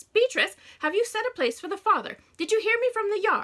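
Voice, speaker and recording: A woman puts on a squeaky character voice at an extremely high pitch. She speaks at a fairly quick pace in a raised, projected voice. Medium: read story. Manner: fussy, scolding.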